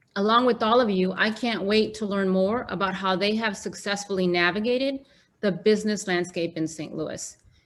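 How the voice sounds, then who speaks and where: A woman at a medium pitch with fairly even intonation and a moderate pace, on a very clean recording with a silent background. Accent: Mexican. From Mexico, Guanajuato. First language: Spanish. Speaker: panel moderator. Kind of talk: moderated panel discussion. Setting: virtual event.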